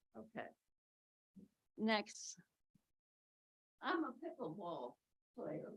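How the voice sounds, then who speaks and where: A woman with an American accent speaks very slowly, with long, frequent pauses, vocal fry, a fairly high pitch and very wide pitch swings. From New Jersey. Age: 80s+. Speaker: resident speaking at public comment. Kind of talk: public comment at council meeting.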